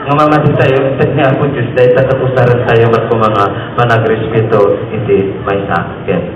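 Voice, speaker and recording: Amid noticeable background noise, a man speaks at a medium pitch and moderate pace with fairly even intonation. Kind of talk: humorous homily.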